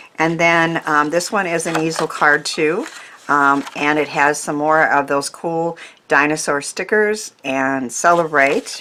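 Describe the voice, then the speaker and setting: A woman at a fairly slow pace, very deep and low in pitch with ordinary pitch variation, against noticeable background noise. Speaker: craft YouTuber. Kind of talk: craft tutorial. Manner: hesitant, many fillers.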